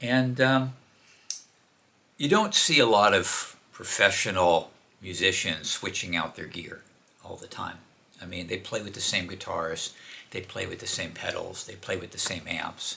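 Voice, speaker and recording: A man speaks at a fairly slow pace with long, frequent pauses and big swings in loudness, over noticeable background noise. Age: 70s. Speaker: independent musician and home recording video maker. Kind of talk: casual talk to camera. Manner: hesitant, many fillers.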